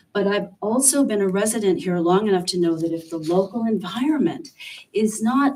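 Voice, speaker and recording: In an American accent, a woman speaks with a plain, everyday voice at medium pitch. Her intonation is lively and her pace moderate. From western New York. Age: 60s. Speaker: public commenter, resident. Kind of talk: public comment at town meeting. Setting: town board meeting.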